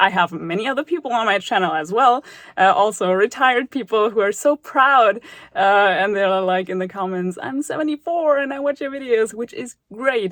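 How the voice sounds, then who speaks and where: In a German accent, a woman speaks at a moderate pace with a fairly high pitch and lively intonation against a quiet background. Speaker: math tutor YouTuber. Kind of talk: casual vlog talk to viewers. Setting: studio.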